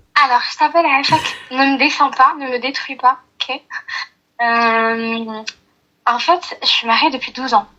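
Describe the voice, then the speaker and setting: A woman speaks very slowly in a raised, projected voice with a high pitch. Her tone is bright and sharp, and her intonation stays fairly even. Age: 30s. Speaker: caller. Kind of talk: personal testimony on a phone call. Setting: phone call, on speaker.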